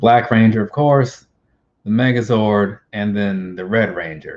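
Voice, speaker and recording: The speaker is a man. His pitch sits fairly low and varies in an ordinary way. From US Midwest. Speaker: YouTuber. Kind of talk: casual chat. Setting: video call. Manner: rambling. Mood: casual, opinionated.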